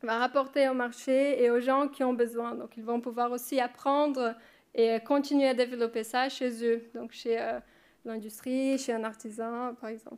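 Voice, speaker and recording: A woman with a non-native accent speaks at a high pitch in a monotone, flat intonation with big swings in loudness, in a very clean recording with a silent background. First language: not French (speaking French). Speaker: research assistant. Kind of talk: conference presentation. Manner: halting, many hesitations.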